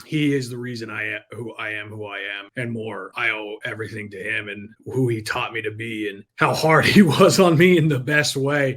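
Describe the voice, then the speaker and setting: At a moderate pace with hardly any pauses, a man talks with ordinary pitch variation. His loudness swings widely. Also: medium pitch for a man. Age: young. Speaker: entrepreneur and sales coach. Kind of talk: podcast interview. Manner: animated.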